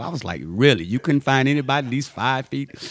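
A man in a Louisiana accent with lively intonation. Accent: Southern US (Louisiana). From Louisiana, US South (Ruston). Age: 50s. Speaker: junior high basketball coach and army veteran. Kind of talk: interview.

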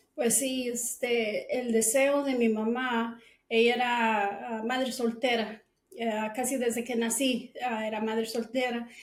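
A woman speaks at a very slow pace. Her fairly high pitch holds a monotone, flat intonation. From Guatemala City, moved to Texas at six. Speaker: cleaning business owner. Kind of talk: interview.

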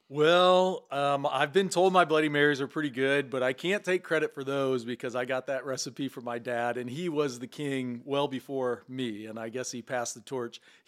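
A plain, everyday voice from a man with an American accent, medium pitch and ordinary pitch variation, at a moderate pace with hardly any pauses. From southern Illinois, small farm town. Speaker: former baseball player and mixologist. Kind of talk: casual chat.

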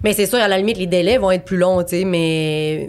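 A woman with a plain, everyday voice speaks at medium pitch with ordinary pitch variation. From Quebec City, Quebec. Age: 20s. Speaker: abstract painter. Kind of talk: casual interview.

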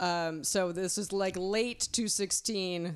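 A woman with a plain, everyday voice, medium pitch and a fairly slow pace. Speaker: wedding minister. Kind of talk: interview chat about wedding services.

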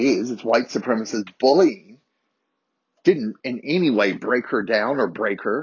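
A man with a medium pitch speaks in an animated tone at a moderate pace. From Harrisonburg, Virginia, US. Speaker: podcast host. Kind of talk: solo podcast storytelling, casual and confessional. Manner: loud, animated.

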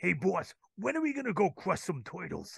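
Using a put-on character voice, a man speaks high in pitch with very wide pitch swings at a moderate pace. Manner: impersonation.

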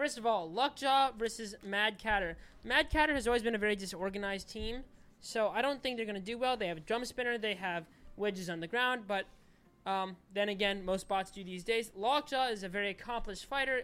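Speaking at a fairly quick pace, a woman has an ordinary speaking voice, fairly high in pitch with ordinary pitch variation. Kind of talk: casual chat.

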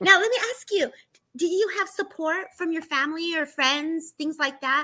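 In an American accent, a woman uses a raised, projected voice with a bright, sharp tone at a moderate pace. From California. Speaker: live show host. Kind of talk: casual livestream chat interview. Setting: live online stream.

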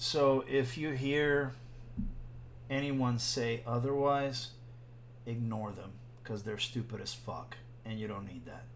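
A man speaks at a medium pitch and a fairly slow pace, with fairly even intonation, big swings in loudness, long, frequent pauses and audible room echo. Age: 40s. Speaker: podcast co-host. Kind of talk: casual chat.

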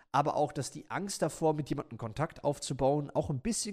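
The voice belongs to a man with a fairly high pitch. He talks very fast. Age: 20s. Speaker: YouTuber. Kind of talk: casual chat.

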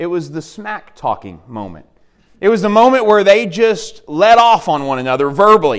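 At a moderate pace, a man talks in an Arkansas accent with lively intonation. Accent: US Southern (Arkansas). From Arkansas (Dardanelle). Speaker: campus minister preaching as guest. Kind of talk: sermon. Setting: church.

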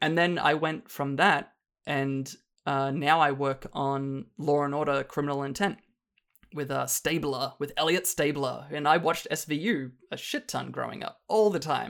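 Strong Australian accent at a moderate pace, on a very clean recording with a silent background. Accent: Australian, still strong. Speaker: film dialogue editor. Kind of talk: casual chat.

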